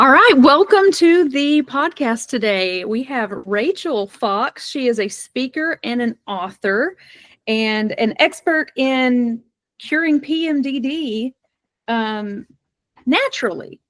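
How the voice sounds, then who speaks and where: In an American accent, a woman speaks at a very slow pace with a high pitch and lively intonation. The recording is very clean, with a silent background. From US South. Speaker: podcast host, suicide intervention expert. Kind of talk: podcast interview.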